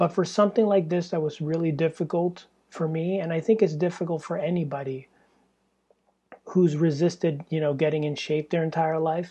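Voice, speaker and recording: This woman has a dark, mellow, somewhat breathy tone at a fairly low pitch. She talks at a moderate pace with fairly even intonation. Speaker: podcaster. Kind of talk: casual monologue. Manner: halting, hesitant.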